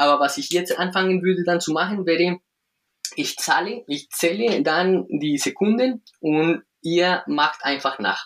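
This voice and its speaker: A man with a Spanish accent speaks at a fairly slow pace in a high pitch, with ordinary pitch variation. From Colombia. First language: Spanish (speaking German). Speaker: breathing coach and movement trainer. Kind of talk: interview; guided breathing exercise. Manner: halting, searching for words.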